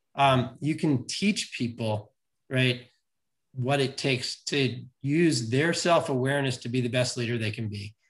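A man's medium-pitched, somewhat breathy voice at a fairly slow pace, with ordinary pitch variation. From New York City. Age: 50s. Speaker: leadership coach. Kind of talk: casual interview.

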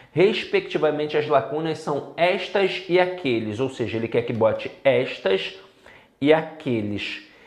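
Animated in tone, a man with a Brazilian accent speaks at a fairly slow pace amid audible room echo. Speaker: Portuguese language teacher for civil service exam candidates. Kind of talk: lecture.

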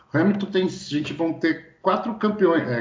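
Ordinary pitch variation marks this voice. It comes with a Brazilian accent. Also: man. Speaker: podcast co-host. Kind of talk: casual chat.

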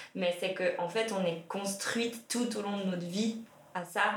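Fairly even intonation, with noticeable background noise and audible room echo. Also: woman. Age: 30s. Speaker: feminist activist, social work association employee. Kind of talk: casual discussion.

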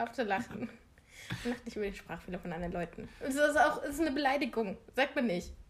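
Noticeable background noise surrounds a woman with a high pitch. She talks at a very fast pace, her pitch swinging very widely. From eastern Germany. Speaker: podcast co-host. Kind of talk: casual chat. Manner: laughing often.

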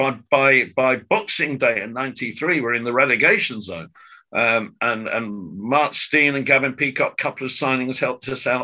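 Against a quiet background, a man speaks at a moderate pace with a medium pitch and a bright, sharp tone. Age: 60s. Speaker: football club announcer and writer. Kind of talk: casual chat.

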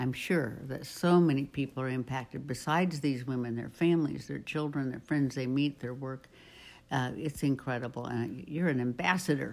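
A woman's very deep, low voice at a moderate pace with ordinary pitch variation, on a very clean recording with a silent background. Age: 80s. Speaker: camp attendee guest. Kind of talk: casual interview chat.

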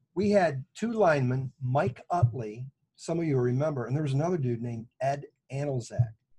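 A somewhat breathy man's voice at a medium pitch, with an American accent. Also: ordinary pitch variation, moderate pace. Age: 60s. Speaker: pastor, podcast co-host. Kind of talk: casual chat between co-pastors, doctrine and football.

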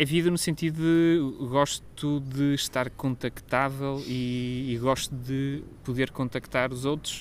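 A man's fairly high, monotone, flat voice at a very slow pace, with hardly any pauses. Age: 30s. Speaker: podcast co-host. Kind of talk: casual chat. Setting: outdoors in a garden.

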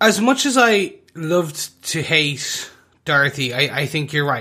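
A man talks at a fairly slow pace with a bright, sharp tone. His pitch varies in an ordinary way. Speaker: podcast co-host. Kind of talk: casual chat. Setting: video call.

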